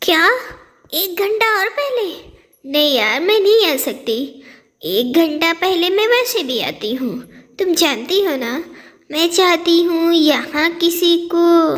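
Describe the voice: Putting on a cartoonish character voice at an extremely high pitch, a woman speaks at a fairly slow pace with long, frequent pauses.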